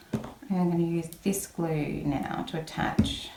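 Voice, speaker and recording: Speaking at a very slow pace with an Australian accent, a woman uses a fairly low voice in a room with audible echo. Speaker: papercraft video maker. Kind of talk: crafting tutorial. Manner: mumbling a bit; casual, chatty.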